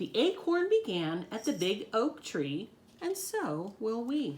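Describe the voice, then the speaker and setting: A female-sounding put-on character voice, fairly high in pitch, with very wide pitch swings at a fairly slow pace. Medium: read story.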